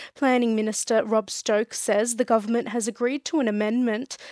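A woman with an Australian accent at a fairly high pitch and moderate pace, her intonation fairly even, in a dry, close sound with no echo. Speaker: radio newsreader. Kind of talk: regional radio news bulletin reading. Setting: studio. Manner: crisp, measured, even-paced newsreader delivery.

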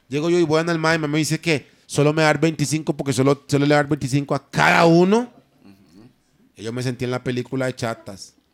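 An ordinary speaking voice at a fairly quick pace, with ordinary pitch variation. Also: man, fairly high pitch for a man, big swings in loudness. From Costa Rica, Limón. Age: 20s. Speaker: singer. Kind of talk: casual chat.

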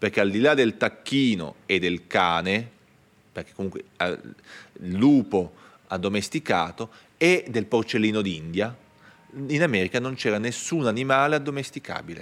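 The man speaks fairly slowly. His voice is pitched fairly low. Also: lively intonation. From northern Italy (Piedmont Alps family). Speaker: archaeologist and museum director. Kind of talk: public talk interview before live audience. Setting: stage with audience. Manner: halting, many restarts.

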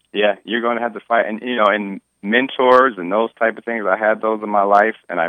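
Fairly quick and fairly low-pitched, a man with an American accent talks in a plain, everyday voice with fairly even intonation. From Detroit, US Midwest. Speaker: self-defense case defendant and mentor. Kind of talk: interview testimony.

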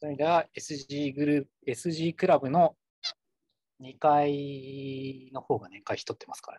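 A man with a fairly high pitch and a dark, mellow tone speaks at a fairly slow pace with fairly even intonation and big swings in loudness, recorded dry and close with no echo. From Kumamoto, Japan. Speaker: consultant. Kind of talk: casual chat.

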